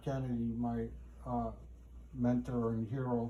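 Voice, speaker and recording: A man with an American accent at a very slow pace, amid audible room echo. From Poland, then Cleveland, Ohio from age 13. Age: 60s. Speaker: interviewee, homeless man. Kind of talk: casual interview. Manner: halting.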